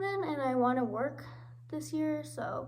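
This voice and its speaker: Noticeable background noise sits behind a woman's voice. There is audible room echo. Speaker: vlogger. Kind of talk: casual vlog monologue. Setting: under a table at home.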